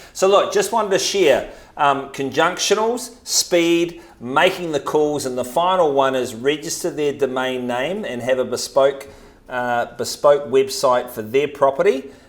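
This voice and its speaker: With a New Zealand accent, a man talks at a fairly slow pace and fairly high pitch, his intonation lively over noticeable background noise. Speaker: real estate agent. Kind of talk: podcast talk, real estate tips.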